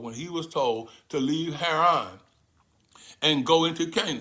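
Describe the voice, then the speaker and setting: A man's fairly high-pitched voice, bright and sharp in tone, animated, at a moderate pace, with audible room echo. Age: 70s. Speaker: spiritual teacher. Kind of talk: sermon.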